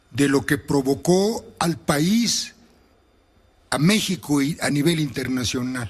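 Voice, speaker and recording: A man's fairly high, somewhat breathy voice at a very slow pace, with very wide pitch swings. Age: 70s. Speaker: former government official and author. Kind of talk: radio interview.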